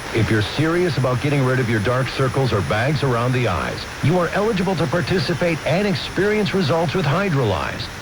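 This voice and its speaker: A man's fairly high pitch with very wide pitch swings, very even loudness and hardly any pauses, amid noticeable background noise. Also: fairly quick pace. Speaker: commercial announcer. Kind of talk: radio commercial read. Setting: radio broadcast. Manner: urgent, salesy.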